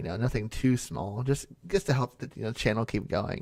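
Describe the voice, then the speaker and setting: A man talks at a fairly quick pace with vocal fry. His pitch varies in an ordinary way. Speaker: ASMR creator / YouTuber. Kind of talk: casual talk to camera, Q&A. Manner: soft-spoken, relaxed.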